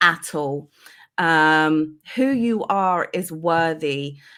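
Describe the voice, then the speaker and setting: A woman with a London accent speaks at a fairly low pitch. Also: very clean recording, silent background. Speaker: life coach. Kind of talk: interview.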